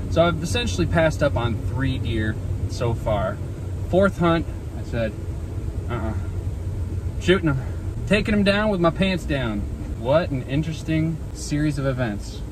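A man talks at a moderate pace with long, frequent pauses. The sound is dry with no echo, and background noise is noticeable. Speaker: hunter vlogger. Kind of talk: casual vlog chat. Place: car. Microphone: phone near.

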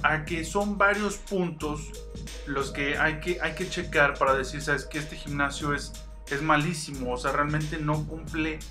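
A man talks fairly slowly while clear music is heard in the background. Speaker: fitness youtuber. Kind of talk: casual vlog chat. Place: home room. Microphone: phone near.

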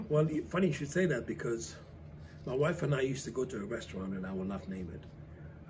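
Noticeable background noise runs under this recording. A man speaks at a moderate pace. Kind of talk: interview answer. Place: cafe.

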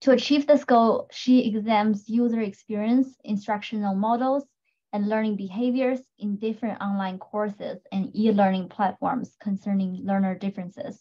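A somewhat breathy woman at a moderate pace, fairly even intonation, quiet background. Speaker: panel moderator. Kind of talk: panel introduction, reading bios. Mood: friendly, lightly laughing. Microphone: video call.

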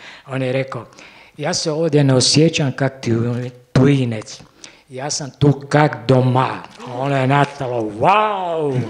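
Over light background noise, a man speaks very slowly with ordinary pitch variation. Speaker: war survivor witness; witness. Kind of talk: testimony. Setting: cinema stage with audience. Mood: earnest, emotional recollection. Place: hall. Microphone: handheld.

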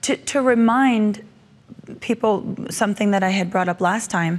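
Speaking at a moderate pace, a woman lets her pitch vary in an ordinary way. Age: young. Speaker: preacher and author; preacher. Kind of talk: interview about faith. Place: studio. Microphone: lapel.

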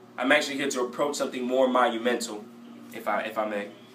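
A man speaks at a moderate pace with ordinary pitch variation, with audible room echo and light background noise. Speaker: rapper vlogger. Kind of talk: casual vlog chat. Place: bathroom. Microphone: phone near.

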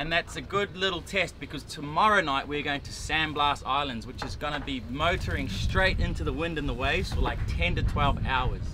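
A man talks at a fairly high pitch with ordinary pitch variation and few pauses. Background noise is clearly audible. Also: moderate pace.

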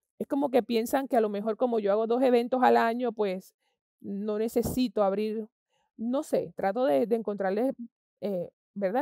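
A woman's dark, mellow voice moves at a moderate pace with ordinary pitch variation, recorded dry with no echo over a quiet background. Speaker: interviewee. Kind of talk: interview answer. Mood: frustrated about government. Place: stage.

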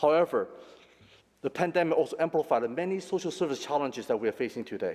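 A man talking at a very fast pace with lively intonation over a quiet background. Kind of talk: formal prepared statement. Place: hall.

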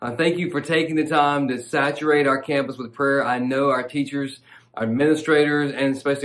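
With a Southern US accent, the speaker keeps a moderate pace with hardly any pauses and a flat, monotone intonation. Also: man. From US South. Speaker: pastor. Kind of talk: devotional sermon. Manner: fervent, passionate preaching; warm, conversational. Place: studio.

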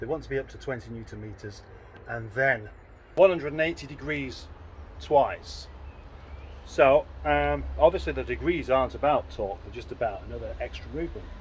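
Light background noise accompanies a man talking at a moderate pace with big swings in loudness. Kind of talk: casual vlog chat. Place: garage. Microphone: phone near.

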